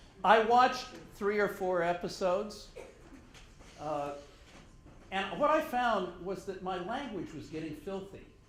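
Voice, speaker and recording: A man with an American accent and a high pitch, lively intonation and big swings in loudness, at a fairly slow pace with long, frequent pauses and audible room echo. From Oklahoma. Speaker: professor. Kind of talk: lecture. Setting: dinner talk. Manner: conversational.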